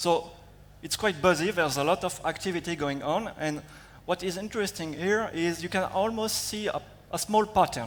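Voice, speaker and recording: A high-pitched man with a French accent, ordinary pitch variation and a moderate pace. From France. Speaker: security researcher. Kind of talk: conference talk. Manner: hesitant, many fillers.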